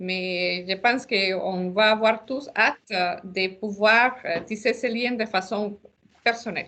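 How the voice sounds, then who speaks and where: With a non-native accent, this bright, sharp voice moves at a very slow pace with ordinary pitch variation. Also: woman, fairly high pitch for a woman. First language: not French (speaking French). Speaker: association founder leading a launch webinar. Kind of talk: webinar closing remarks. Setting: video call webinar. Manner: hesitant, many fillers.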